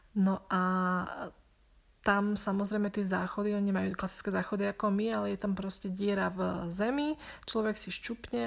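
A woman has an unremarkable speaking voice at a medium pitch and a moderate pace. The recording is very clean, with a silent background. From Slovakia. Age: 20s. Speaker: podcaster, returned volunteer. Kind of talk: casual Q&A monologue.

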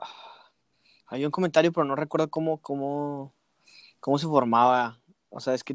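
Recorded with a dry, close sound and no echo, a man with a Mexican accent speaks at a moderate pace and fairly high pitch, with big swings in loudness, long, frequent pauses and fairly even intonation. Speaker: musician. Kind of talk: casual chat.

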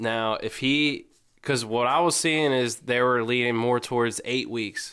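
A man's medium-pitched voice, bright and sharp in tone, with fairly even intonation, on a very clean recording with a silent background. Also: fairly slow pace. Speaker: sports podcast co-host. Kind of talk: casual chat. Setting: studio.

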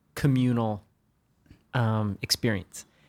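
The recording of this man is very clean, and the background is completely silent. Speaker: DJ and record label co-founder. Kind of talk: casual chat. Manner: joking.

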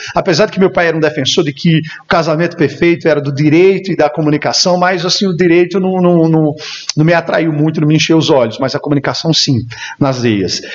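Against noticeable background noise, a man talks at a fairly quick pace and fairly high pitch, with ordinary pitch variation and very even loudness. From Brazil, Campina Grande, Paraíba. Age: 30s. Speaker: radio announcer and event emcee. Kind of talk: interview chat.

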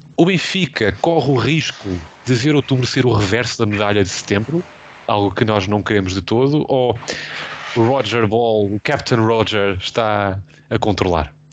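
Medium-pitched man at a moderate pace, very even loudness and ordinary pitch variation, over noticeable background noise. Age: 20s. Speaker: football podcast host. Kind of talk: casual chat.

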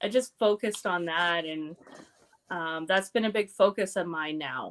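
A woman speaks with a Canadian accent in an unremarkable speaking voice, with lively intonation at a moderate pace. The recording is very clean and dry, close with no echo, against a silent background. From Canada, small town in Alberta. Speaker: pro wrestler and burlesque dancer. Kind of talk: casual interview chat.

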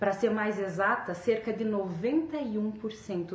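Audible room echo plus noticeable background noise. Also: woman. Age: 30s. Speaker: weight-loss storyteller. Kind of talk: personal testimony and motivational talk.

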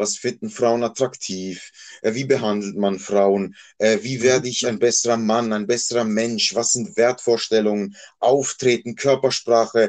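It is an ordinary speaking voice, moving at a fairly slow pace. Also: man, medium pitch for a man, fairly even intonation. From Switzerland, Basel area. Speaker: male escort. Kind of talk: casual interview.

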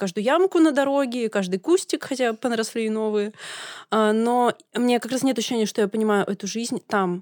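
In a dry, close recording with no echo, a woman with a fairly high pitch talks in an ordinary speaking voice with ordinary pitch variation. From Russia, Kemerovo region (Siberia). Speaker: podcast co-host. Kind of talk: debate. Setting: studio.

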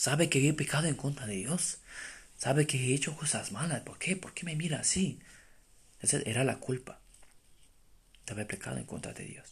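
A man talks at a moderate pace with long, frequent pauses. His voice is fairly high in pitch and somewhat breathy, with ordinary pitch variation. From Romania. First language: Romanian (speaking Spanish). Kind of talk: testimony. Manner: halting.

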